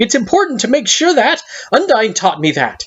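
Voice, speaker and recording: A man performs a put-on character voice at an extremely high pitch. His pitch swings very wide. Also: moderate pace. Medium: read story. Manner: formal and earnest.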